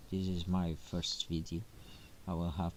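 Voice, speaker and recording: Soft-spoken, a man talks at a very slow pace. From Portugal. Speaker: gaming streamer. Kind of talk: gameplay commentary. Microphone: quiet, low sound quality.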